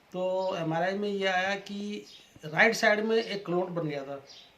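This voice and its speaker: Against noticeable background noise, a man with a high pitch speaks in fairly even intonation. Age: 60s. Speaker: customer giving testimonial. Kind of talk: testimony.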